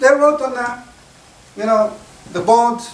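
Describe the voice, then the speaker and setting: A man speaks with an Arabic accent against noticeable background noise. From Syria. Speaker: imam. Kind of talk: religious talk to students.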